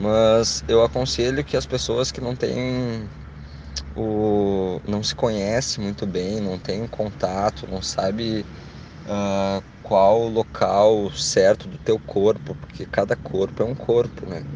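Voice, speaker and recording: A very slow man's voice, fairly low in pitch, with ordinary pitch variation. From Rio Grande do Sul, Brazil (Canoas). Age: 20s. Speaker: listener giving testimony. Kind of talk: recorded testimony.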